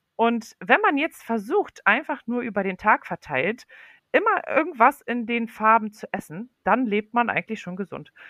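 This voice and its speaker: At a moderate pace, the voice swings widely in loudness and carries lively intonation. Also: woman, fairly high pitch for a woman. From Poland. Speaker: healthy eating advocate and mom blogger. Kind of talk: interview on a children's podcast. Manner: frequent hesitations and fillers.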